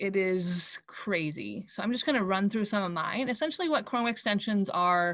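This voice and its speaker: A woman talks at a moderate pace in an unremarkable speaking voice. Her pitch is medium and her intonation is lively. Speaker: teacher presenting tech tips. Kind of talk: webinar presentation.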